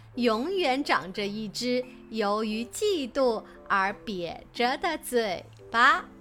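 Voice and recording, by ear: A natural voice, reading aloud.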